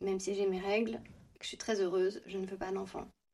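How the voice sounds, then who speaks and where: This woman's voice sits at a medium pitch, with a dark, mellow tone and fairly even intonation. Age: 30s. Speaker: nail technician. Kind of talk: interview.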